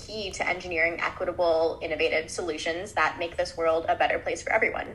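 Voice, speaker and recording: There is noticeable background noise behind this woman with an American accent. She talks at a fairly quick pace. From Chicago, US Midwest. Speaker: graduate student co-host. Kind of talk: podcast discussion.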